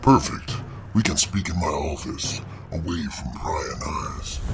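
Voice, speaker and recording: A man puts on a character voice and speaks at a fairly slow pace. Loud background noise is present. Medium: read story. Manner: smooth, salesman-like.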